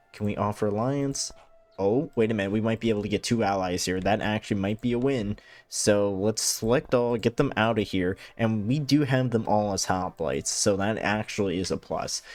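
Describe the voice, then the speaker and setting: The speaker is a man with a fairly low pitch and ordinary pitch variation, using a normal speaking voice. He goes at a moderate pace on a very clean recording with a silent background. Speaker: gaming YouTuber. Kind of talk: let's play commentary. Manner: casual, thinking aloud with fillers.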